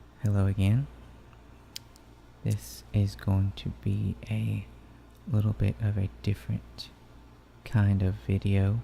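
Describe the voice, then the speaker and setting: A soft-spoken man with a dark, mellow tone and a somewhat breathy sound talks at a very slow pace, leaving long, frequent pauses. His pitch swings very widely. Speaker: ASMR channel host. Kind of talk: ASMR bedtime story reading. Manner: soft-spoken, relaxing.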